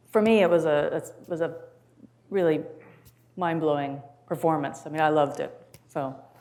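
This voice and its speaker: Taking long, frequent pauses, a woman with an American accent speaks in a very deep, low pitch with a dark, mellow tone and fairly even intonation, and audible room echo can be heard. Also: moderate pace. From US Midwest. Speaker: music professor. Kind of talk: interview.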